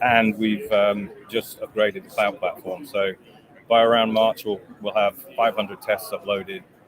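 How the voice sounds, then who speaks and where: A man speaks at a moderate pace with fairly low pitch. His intonation is monotone and flat, with noticeable background noise behind him. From England. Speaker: company executive. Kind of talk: product pitch in interview. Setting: trade show booth.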